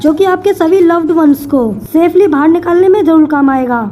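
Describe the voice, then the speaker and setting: Music plays in the background while a woman speaks at a moderate pace. Her extremely high pitch shows ordinary variation. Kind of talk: anime episode recap narration.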